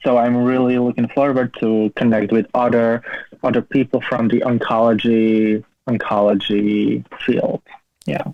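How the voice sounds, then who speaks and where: At a fairly slow pace, the speaker talks with a Slovak accent in monotone, flat intonation and very even loudness. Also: man, medium pitch for a man. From Slovakia. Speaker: cancer survivor and PhD student. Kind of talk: interview. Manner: halting.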